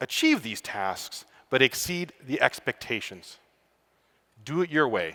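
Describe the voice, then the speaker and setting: In a slight Canadian accent, a man with a bright, sharp tone speaks at a moderate pace, his pitch swinging very widely, in a dry, close sound with no echo. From Canada. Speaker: student affairs professional. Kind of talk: conference talk.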